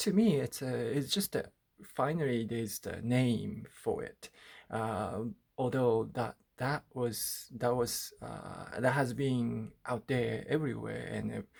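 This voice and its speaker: Speaking with a Japanese accent, a man moves at a very slow pace. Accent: Japanese-accented English, rusty. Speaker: artist. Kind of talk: personal video diary. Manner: halting, many fillers.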